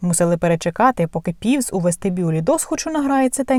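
With lively intonation, a natural voice reads the text aloud.

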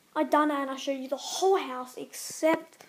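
A woman with a high pitch speaks over light background noise. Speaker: vlogger. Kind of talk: casual vlog chat. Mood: casual, mildly complaining. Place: home room. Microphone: phone near.

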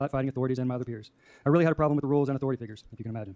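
With ordinary pitch variation, a man's dark, mellow tone comes across a quiet background. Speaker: public commenter. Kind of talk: reading aloud. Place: hall. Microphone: podium.

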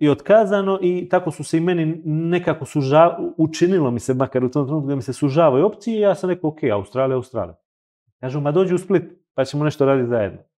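Against a quiet background, a dark, mellow voice races along very fast with ordinary pitch variation. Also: man, fairly high pitch for a man. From Montenegro, Kotor; Montenegro. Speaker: luxury hotel consultant; guest. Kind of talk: casual interview chat. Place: studio.

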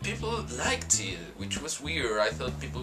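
A man speaks at a fairly quick pace with clear music in the background. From Argentina. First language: Spanish. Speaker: vlogger. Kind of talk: casual talk to camera. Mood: earnest, reflective. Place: home room. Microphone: webcam.

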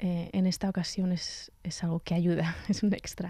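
A woman's somewhat breathy, fairly low voice, dark and mellow in tone, at a moderate pace with monotone, flat intonation, over a quiet background in a dry room with no echo. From central Spain, Sierra de Gredos (Ávila); Spain. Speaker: cellist and composer; guest. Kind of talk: radio interview. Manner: halting, with frequent repetitions. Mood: warm, amused. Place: studio. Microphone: studio mic.

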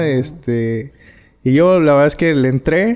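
A man's dark, mellow voice, fairly high in pitch, with ordinary pitch variation and a quiet background. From Tepic, Nayarit, Mexico; Nayarit, Mexico. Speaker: former professional footballer; guest. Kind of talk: interview. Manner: halting. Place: home room. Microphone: studio mic.

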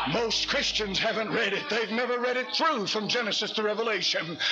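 Clear music plays behind a man whose extremely high pitch holds a fairly even intonation. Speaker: Baptist pastor, hellfire preacher. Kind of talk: fiery sermon to a congregation. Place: church. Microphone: podium.

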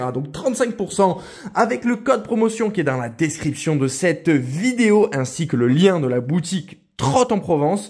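Animated in tone, a man with a high pitch talks at a fairly slow pace, his pitch swinging very widely. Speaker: online scooter shop owner. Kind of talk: sales pitch. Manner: animated, friendly, direct address with 'tu'.

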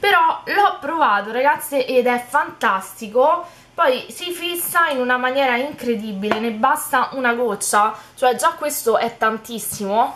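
A woman talks at a high pitch with lively intonation. Her pace is fairly slow, with light background noise behind her. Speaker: beauty YouTuber. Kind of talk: casual haul video talk. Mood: cheerful, enthusiastic. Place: home room. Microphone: phone near.

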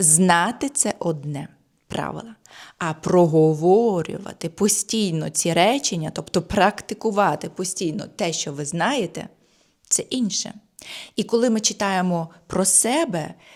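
A woman's plain, everyday voice at a medium pitch, with ordinary pitch variation and a fairly slow pace, on a very clean recording with a silent background. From Ukraine. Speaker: German language teacher. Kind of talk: tutorial.

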